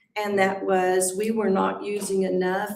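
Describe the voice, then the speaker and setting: Medium-pitched woman's voice with audible room echo. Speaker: school principal. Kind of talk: meeting report. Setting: school board meeting.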